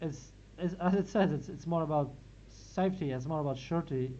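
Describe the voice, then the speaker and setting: The speaker has a Latvian accent. The pace is moderate. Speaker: philosophy reading group organizer. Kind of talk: academic discussion. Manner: halting, many repetitions.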